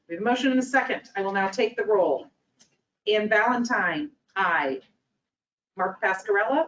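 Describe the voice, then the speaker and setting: At a moderate pace and medium pitch, a woman speaks with lively intonation and long, frequent pauses. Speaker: board meeting chair. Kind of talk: formal board meeting proceedings.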